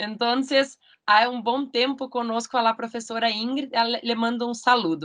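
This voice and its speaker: Fairly high-pitched woman's voice with a Portuguese accent and fairly even intonation. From Brazil. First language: Portuguese (speaking Spanish). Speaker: law school coordinator. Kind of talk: formal video conference introduction. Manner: slow; halting.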